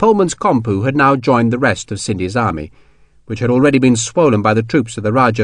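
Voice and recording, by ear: Someone reads aloud in a natural voice.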